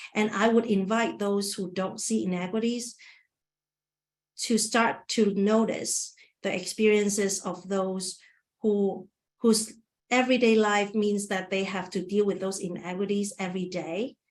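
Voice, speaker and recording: A woman's medium-pitched voice with a non-native accent, fairly even intonation and a fairly slow pace. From Asia, immigrant to US at 19. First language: not English. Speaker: webinar presenter, community engagement worker. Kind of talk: webinar presentation with Q&A. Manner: halting, many restarts.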